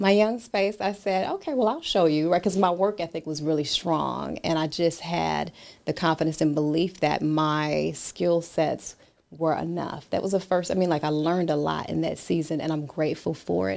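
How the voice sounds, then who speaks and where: In a very clean recording with a silent background, a woman with an American accent and a plain, everyday voice speaks at a moderate pace, her fairly low pitch showing ordinary variation. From US and British Virgin Islands. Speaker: author and business consultant. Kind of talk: interview.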